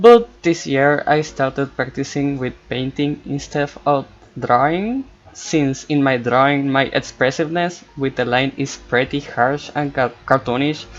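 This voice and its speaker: Speaking at a fairly slow pace with a Spanish accent, a man uses a fairly high pitch and ordinary pitch variation. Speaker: art student and cartoonist vlogger. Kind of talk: voiceover commentary over art process. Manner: hesitant, non-native pace.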